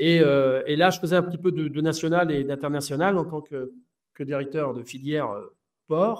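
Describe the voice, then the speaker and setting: Ordinary pitch variation and a moderate pace from a man with a fairly high voice. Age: 60s. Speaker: football coach. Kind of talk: interview. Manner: halting, many hesitations.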